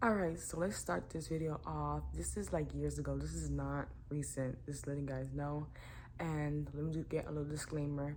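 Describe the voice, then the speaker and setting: Her moderate pace comes through with audible room echo. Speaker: YouTuber. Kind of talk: storytime vlog. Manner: casual, filler-heavy; talking too low.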